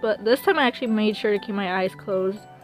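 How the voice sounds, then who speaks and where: With music behind her, a woman's pitch varies in an ordinary way. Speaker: hobby artist. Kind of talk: casual storytime talk. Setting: phone microphone. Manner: hesitant, stumbling.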